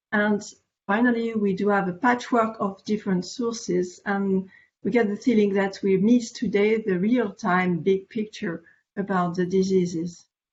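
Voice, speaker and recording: At a moderate pace, a woman with a French accent talks in a medium, somewhat breathy voice with fairly even intonation. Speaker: veterinary parasitology specialist. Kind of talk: conference presentation. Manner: hesitant, many fillers.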